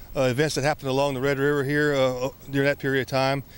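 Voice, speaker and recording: A man talking at a very fast pace, the sound dry with no echo. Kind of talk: interview answer. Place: open country.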